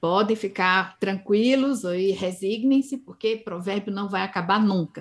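A woman talks in a normal speaking voice. Her pace is fairly slow. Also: medium pitch for a woman, ordinary pitch variation, hardly any pauses. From Northeast Brazil, Campina Grande, Paraíba. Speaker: linguistics professor. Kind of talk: interview.

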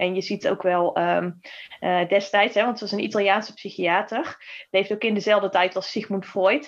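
The woman has a plain, everyday voice, medium in pitch, and talks at a moderate pace. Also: fairly even intonation. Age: 30s. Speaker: heart coherence trainer and author. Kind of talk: casual interview conversation.

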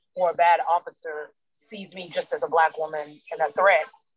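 Animated in tone, a woman speaks in a dry, close sound with no echo. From United States, raised by Nigerian parents. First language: German. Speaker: speech and debate teacher. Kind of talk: casual interview. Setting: restaurant.

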